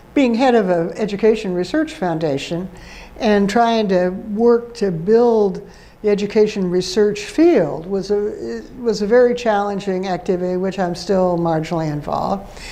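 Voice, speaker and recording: A woman with an American accent speaks at a moderate pace, her medium-pitched voice dark and mellow in tone. Her pitch varies in an ordinary way, and audible room echo surrounds her. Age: 80s+. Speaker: retired professor and education dean. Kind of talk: interview. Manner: halting.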